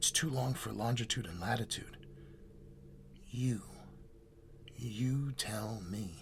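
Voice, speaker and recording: In a put-on character voice, a man speaks at a fairly slow pace with long, frequent pauses while clear background noise runs underneath. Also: medium pitch for a man. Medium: read story. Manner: terse, muttering.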